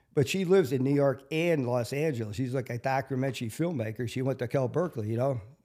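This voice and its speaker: A man with a Wisconsin accent talks at a very fast pace with hardly any pauses. His pitch is medium with ordinary variation, in a very clean recording with a silent background. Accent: Upper Midwest (Wisconsin). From Milwaukee, Wisconsin (South Side). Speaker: local street celebrity, construction worker. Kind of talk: interview.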